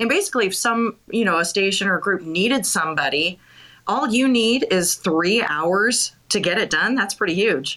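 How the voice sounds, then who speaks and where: In a very clean recording with a silent background, a woman with an American accent speaks at a moderate pace, her medium pitch, bright, sharp tone and lively intonation carried at a very even loudness. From Montana. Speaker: radio co-host and interviewer. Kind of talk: interview. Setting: live audio chat room.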